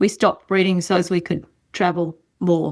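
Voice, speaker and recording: At a moderate pace, a woman with an Australian accent speaks at a medium pitch. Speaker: horse breeder and rider. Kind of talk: casual chat.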